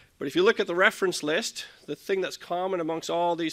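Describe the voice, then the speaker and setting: Very fast and bright, sharp in tone, a man speaks with fairly even intonation on a very clean recording with a silent background. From Ontario, Canada. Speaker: livestock genetics scientist. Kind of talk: conference talk.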